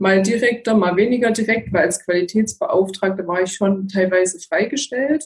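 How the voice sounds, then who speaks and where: A somewhat breathy voice with fairly even intonation. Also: woman. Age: 30s. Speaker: geriatric nurse and care advisor. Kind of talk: interview.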